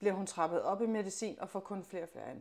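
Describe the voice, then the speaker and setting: Recorded very cleanly against a silent background, a woman speaks at medium pitch with fairly even intonation. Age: 30s. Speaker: mother of a chronically ill child, athlete. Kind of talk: interview testimony. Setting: in her home. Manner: hesitant, many fillers.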